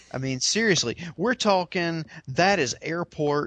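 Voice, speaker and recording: In a dry, close sound with no echo, a man talks at a fairly slow pace in an ordinary speaking voice, his intonation lively. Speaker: podcast host. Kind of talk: casual chat.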